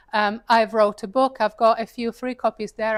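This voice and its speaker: A woman with an Italian accent speaks at a fairly high pitch. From Italy. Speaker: paid advertising consultant and speaker. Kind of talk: talk to a live audience. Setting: stage with audience, seated. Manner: casual, conversational.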